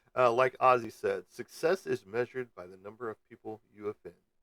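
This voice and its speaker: Over music in the background, a man talks at a moderate pace and medium pitch, the sound dry and close with no echo. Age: 50s. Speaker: livestream host. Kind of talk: casual chat. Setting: live stream broadcast.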